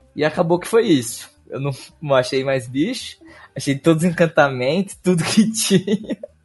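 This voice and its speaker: Over music in the background, a man with a fairly high voice speaks at a moderate pace with lively intonation and big swings in loudness. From Brazil, Ribeirão Preto (São Paulo state). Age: 20s. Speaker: card game player. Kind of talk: casual chat.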